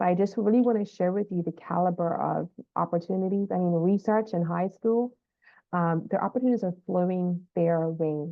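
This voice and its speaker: With an ordinary speaking voice, a woman speaks at a moderate pace, her fairly low pitch carried by fairly even intonation. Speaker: school counselor. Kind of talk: informational update video for parents.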